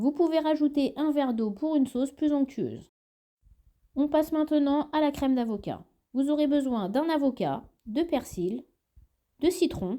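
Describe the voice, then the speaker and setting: A woman with a high voice and a dark, mellow tone speaks fairly slowly with ordinary pitch variation, very even loudness and long, frequent pauses. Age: 30s. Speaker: cooking video creator. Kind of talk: cooking tutorial narration.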